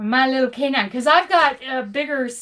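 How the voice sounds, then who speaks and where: A woman speaks at a moderate pace in a high voice with an animated tone. The background is quiet. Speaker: crochet YouTuber and truck driver; crochet YouTuber. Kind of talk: live stream chat. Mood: cheerful, laughing. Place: home room. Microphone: phone near.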